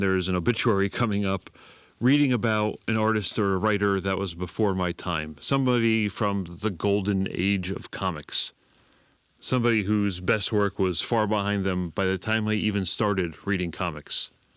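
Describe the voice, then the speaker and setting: Quiet and fairly low in pitch, a man talks at a moderate pace with fairly even intonation on a very clean recording with a silent background. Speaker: comics podcast host. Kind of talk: podcast monologue. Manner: quiet, subdued.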